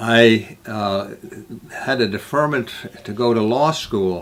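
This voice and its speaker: A man's medium-pitched, very slow speech with a Midwestern American accent, over noticeable background noise. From US Midwest, northern Illinois. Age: 80s+. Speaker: peace activist, refuge founder. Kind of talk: personal life story talk. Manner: halting.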